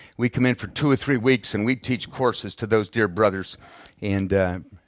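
On a very clean recording with a silent background and a dry, close sound with no echo, a man uses a normal speaking voice, fairly low in pitch, at a moderate pace with fairly even intonation. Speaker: missionary and Bible teacher. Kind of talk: sermon. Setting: church, visiting Perth, Australia. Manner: formal, teaching.

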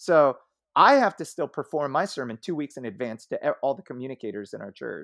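In a normal speaking voice, a man with fairly high pitch shows big swings in loudness on a very clean recording with a silent background. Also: lively intonation, fairly quick pace, dry, close sound with no echo. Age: 40s. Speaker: senior pastor. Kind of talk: casual interview.

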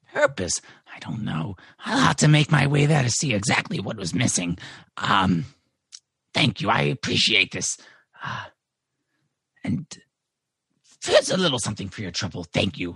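Putting on a raspy character voice, a man at medium pitch makes very wide pitch swings at a moderate pace, with long, frequent pauses and a dry, close sound with no echo. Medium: actual play. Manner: hesitant, halting.

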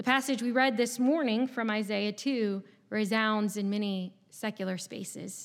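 On a very clean recording with a silent background, a woman with an American accent uses an ordinary speaking voice, a fairly high pitch, fairly even intonation and a moderate pace. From southeast Virginia, US. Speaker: pastor. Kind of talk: sermon. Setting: church.

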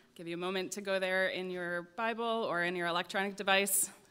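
With an unremarkable speaking voice, a woman talks at a medium pitch and keeps her intonation fairly even. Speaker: scripture reader. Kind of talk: reading aloud. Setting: church.

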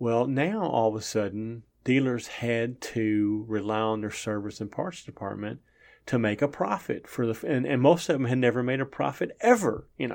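Against a quiet background, a man with medium pitch and ordinary pitch variation talks in an unremarkable speaking voice. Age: 60s. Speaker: trucking business owner and former truck driver. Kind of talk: interview.

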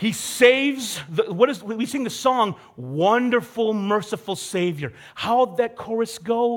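This is a natural reading voice. The text is read aloud naturally.

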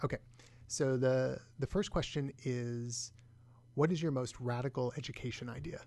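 A man's ordinary speaking voice at medium pitch, fairly even in intonation, at a moderate pace. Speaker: podcast co-host. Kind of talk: interview conversation.

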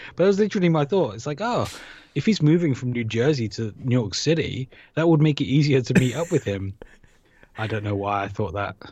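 A man with a British accent talks at a fairly quick pace, somewhat breathy, his pitch swinging very widely. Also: medium pitch for a man. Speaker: podcast host. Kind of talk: casual chat. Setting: remote recording. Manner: joking, self-deprecating.

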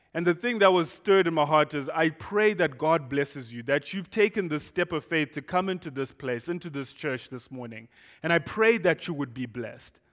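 The speaker has a Zimbabwean accent and a moderate pace, with ordinary pitch variation. The recording is very clean, with a silent background. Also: man. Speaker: guest pastor. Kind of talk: sermon. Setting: church. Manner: excitable; loud and expressive.

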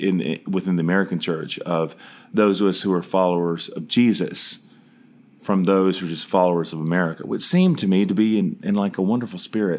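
On a very clean recording with a silent background, a man with a Southern US accent speaks at a fairly quick pace in a very deep, low pitch with fairly even intonation. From US South, Charlotte, North Carolina. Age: 40s. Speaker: podcast host and pastor. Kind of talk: personal monologue.

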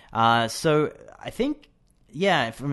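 A man with an Australian accent speaks at a fairly high pitch with very wide pitch swings over a quiet background. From Australia, Brisbane. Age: 20s. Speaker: English teacher. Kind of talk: casual chat. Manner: halting.

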